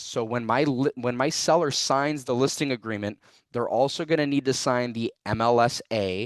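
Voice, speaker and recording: Against a quiet background, a man with an ordinary speaking voice and medium pitch talks at a moderate pace with lively intonation, the sound dry and close with no echo. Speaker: real estate trainer. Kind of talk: tutorial.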